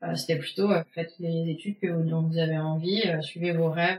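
A woman speaks at a fairly low pitch. Her pace is fairly slow. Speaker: winemaker. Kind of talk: interview. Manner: hesitant.

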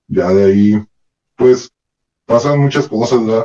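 A man at a fairly slow pace and fairly low pitch. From Northern Mexico, Ciudad Juárez. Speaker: former prisoner. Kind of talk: testimony.

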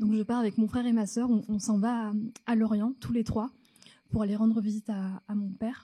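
Woman's fairly high, somewhat breathy voice, dark and mellow in tone, fairly quick in pace, with monotone, flat intonation. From France, North African family. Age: 30s. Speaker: storyteller on stage. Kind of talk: personal story told on stage. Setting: theatre stage with audience. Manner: halting, many repetitions.

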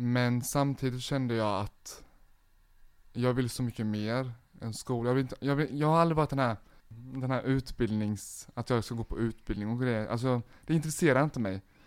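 The speech comes in an unremarkable speaking voice at a moderate pace. Its intonation is fairly even. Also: man, medium pitch for a man. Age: 20s. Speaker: social media entrepreneur. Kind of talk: casual interview.

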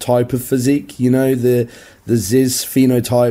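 In a British accent, a man talks at a medium pitch with a dark, mellow tone. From UK. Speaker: physique coach. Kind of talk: casual interview chat.

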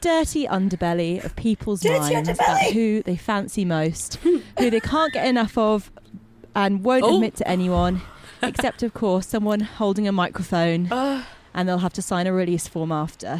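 A woman speaks with a British accent at a medium pitch. Noticeable background noise runs under her voice. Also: lively intonation, moderate pace. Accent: British, BBC Radio 4 style. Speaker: podcast producer, street interviewer. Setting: outdoors on London streets with handheld mic.

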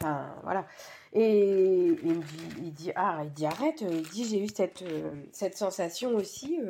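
With a dark, mellow tone and lively intonation, a woman speaks fairly slowly at a medium pitch. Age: 40s. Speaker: mother of a child with Down syndrome. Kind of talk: testimony.

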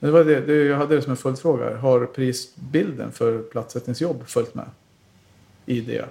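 A man with a dark, mellow tone and vocal fry speaks at a fairly slow pace with fairly even intonation. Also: medium pitch for a man. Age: 40s. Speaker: podcast host. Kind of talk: casual chat.

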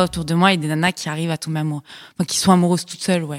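A woman with a fairly low pitch is recorded very cleanly against a silent background, in a dry, close sound with no echo. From Paris, France. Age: 20s. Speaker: podcast guest. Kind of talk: casual chat.

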